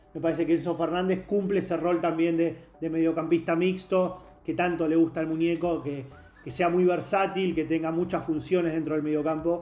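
Speaking with a Rioplatense accent, a man talks at a fairly quick pace in a high pitch with monotone, flat intonation. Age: 30s. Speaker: sports journalist. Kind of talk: casual chat.

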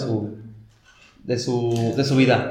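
Over noticeable background noise and audible room echo, a man talks with a Mexican accent. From rural Mexico. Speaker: university student. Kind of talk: casual chat. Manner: halting, with many repeated words.

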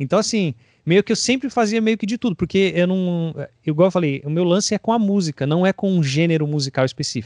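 With lively intonation and a high pitch, a man talks at a fairly quick pace against a quiet background, in a dry, close sound with no echo. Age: 30s. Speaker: drummer. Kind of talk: casual interview.

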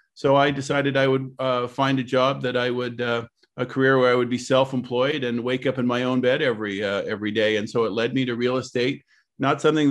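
Over a quiet background, a man with a Canadian accent and an ordinary speaking voice talks at a fairly quick pace, with a medium pitch and fairly even intonation. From Canada, Ottawa. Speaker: real estate broker and association president. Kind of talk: interview.

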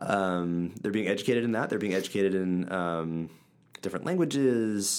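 Here a man speaks with an Upper Midwest accent at a moderate pace. His pitch sits fairly low, with ordinary pitch variation. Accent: Upper Midwest American. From central Wisconsin. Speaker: church podcast co-host. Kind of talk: casual Bible discussion.

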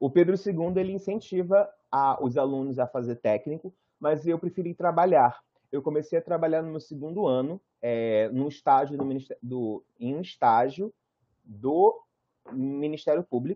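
Talking at a moderate pace in a Carioca accent, a man has a fairly high pitch and ordinary pitch variation. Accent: carioca Brazilian Portuguese. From Rio de Janeiro, Praça Seca. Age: 30s. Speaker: fashion designer and visual artist. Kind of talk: guest lecture talk.

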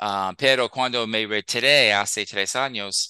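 A man with an American accent speaks at a fairly low pitch with ordinary pitch variation, his tone bright and sharp, the sound dry and close with no echo against a quiet background. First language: English (speaking Spanish). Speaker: Spanish learner, retired teacher. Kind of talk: casual interview. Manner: halting, many fillers.

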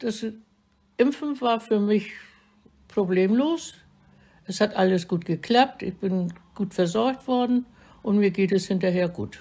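The voice has a dark, mellow tone and ordinary pitch variation. It moves at a very slow pace with long, frequent pauses. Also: woman, medium pitch for a woman. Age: 80s+. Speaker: elderly vaccine recipient. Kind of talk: recorded interview.

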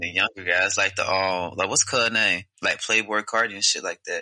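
The sound is dry and close with no echo, and the speech moves at a moderate pace. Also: man. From Virginia, Portsmouth. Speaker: podcast co-host. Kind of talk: casual chat.

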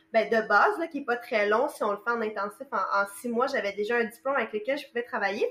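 A woman with a Quebec accent and a high pitch talks at a fairly quick pace with ordinary pitch variation. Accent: Québécois French. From Quebec, Montreal. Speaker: massage therapist. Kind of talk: casual interview. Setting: remote call.

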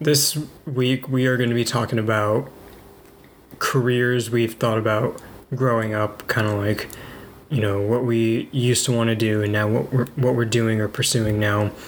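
At a moderate pace, a man with a medium pitch speaks with fairly even intonation. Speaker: podcast co-host. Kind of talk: casual chat. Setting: home kitchen. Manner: fluctuating volume.

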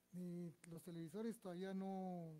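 A man talks in a high voice. His pace is very slow. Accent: Guatemalan. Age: 70s. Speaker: electronics technician. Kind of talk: interview.

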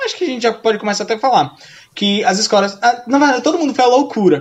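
A man's very fast speech, with ordinary pitch variation, comes through noticeable background noise. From Brazil, Sergipe. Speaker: podcast co-host, school English teacher. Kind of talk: casual chat.

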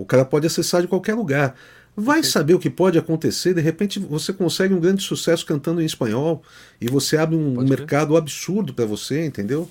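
Talking at a very fast pace, a man uses a fairly high voice. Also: ordinary pitch variation. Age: 50s. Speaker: music producer. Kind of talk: casual chat. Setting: live stream.

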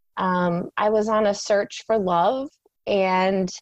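The voice has an Upper Midwest accent and fairly even intonation, with a dry, close sound and no echo. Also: woman. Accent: Upper Midwest American. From rural Minnesota. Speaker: spiritual coach. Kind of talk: interview.

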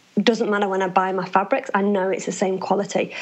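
Noticeable background noise accompanies a woman speaking at a medium pitch. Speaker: business founder, former nurse. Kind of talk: interview. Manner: loud.

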